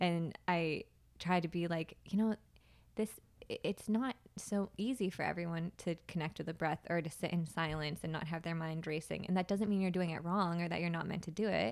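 In an unremarkable speaking voice, a woman with a fairly low pitch talks at a fairly quick pace. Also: ordinary pitch variation. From US Northeast, Plymouth, Massachusetts. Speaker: yoga teacher and astrologer. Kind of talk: casual interview. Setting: in person.

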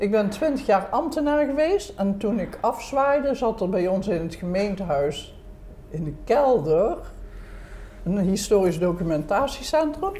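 Her fairly high voice swinging very widely in pitch, a woman talks at a fairly slow pace. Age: 80s+. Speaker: retired civil servant, grandmother. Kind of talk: casual chat. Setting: restaurant.

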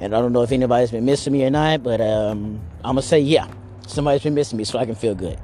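A man speaks at a medium pitch with an American accent. His intonation stays fairly even, with music playing in the background. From US South (Arkansas). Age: 30s. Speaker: podcaster. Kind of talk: casual monologue. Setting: outdoors, walking. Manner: rambling with fillers.

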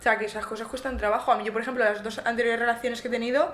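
A woman with a fairly high pitch speaks at a very fast pace, with audible room echo and noticeable background noise. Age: 20s. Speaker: podcast co-host, nursing student. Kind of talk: casual chat.

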